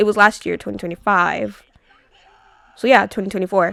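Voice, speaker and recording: A woman speaks in an animated tone. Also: dry, close sound with no echo. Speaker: commentary youtuber. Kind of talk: casual commentary monologue. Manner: animated, many fillers.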